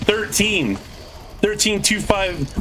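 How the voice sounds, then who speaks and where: Over noticeable background noise, a man speaks at a very slow pace. His pitch swings very widely. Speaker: video game streamer. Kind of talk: live gameplay stream. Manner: loud.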